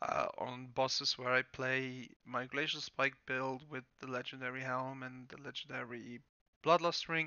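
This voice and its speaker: In a German accent, a man talks at a fairly slow pace. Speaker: gaming guide creator. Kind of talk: tutorial. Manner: hesitant, many fillers.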